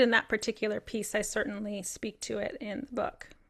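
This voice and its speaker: A woman talks at a very fast pace with a bright, sharp tone. The recording is very clean, with a silent background. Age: 50s. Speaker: clinical psychologist and author. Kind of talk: Q&A discussion.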